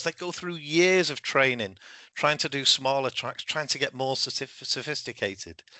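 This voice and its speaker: A man talks with a British accent. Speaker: solutions engineer presenting in a webinar. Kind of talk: webinar presentation. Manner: halting with self-corrections.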